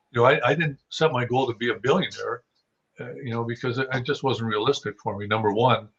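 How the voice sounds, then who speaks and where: A man with a western Canadian accent talks at a very fast pace with fairly even intonation. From Saskatchewan, Canada. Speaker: hunting guide and writer. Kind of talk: podcast interview. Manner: halting, many repeated words.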